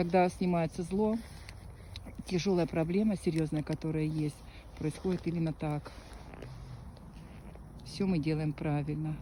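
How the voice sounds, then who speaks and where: Somewhat breathy and very deep in pitch, a woman speaks in a dark, mellow tone with long, frequent pauses. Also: fairly even intonation, fairly slow pace. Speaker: psychic healer performing rituals. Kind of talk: casual commentary during a filmed ritual.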